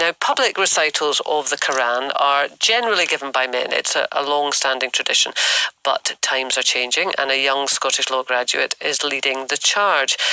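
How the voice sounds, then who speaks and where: With a dry, close sound and no echo but noticeable background noise, a man talks at a moderate pace in a fairly high pitch, with ordinary pitch variation and very even loudness. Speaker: radio presenter. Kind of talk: radio presenter interview questions. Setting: radio studio interview.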